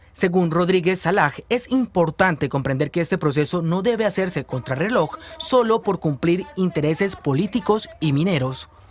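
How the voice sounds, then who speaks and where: Against noticeable background noise, a man speaks in a serious tone at a high pitch. His intonation is lively, his pace moderate, with hardly any pauses. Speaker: news reporter. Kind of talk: formal newsreading, scripted voice-over. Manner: formal, steady, serious.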